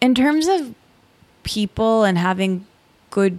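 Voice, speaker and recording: A woman talks with a Midwestern US accent. The recording is very clean, with a silent background. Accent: US Midwest. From Michigan. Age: 30s. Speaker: podcaster and writer. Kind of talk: casual interview chat.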